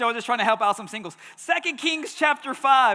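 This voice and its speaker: A man speaks in an animated tone with a raised, projected voice and ordinary pitch variation. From Texas, Houston. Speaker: pastor. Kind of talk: sermon. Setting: church.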